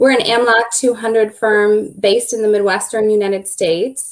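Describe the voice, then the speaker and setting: At a moderate pace, a woman with a fairly high pitch speaks in a Minnesota accent. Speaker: law firm business development director. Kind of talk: panel webinar discussion.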